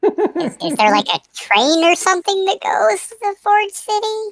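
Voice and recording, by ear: Squeaky and extremely high, a woman's put-on character voice moves at a moderate pace with very wide pitch swings.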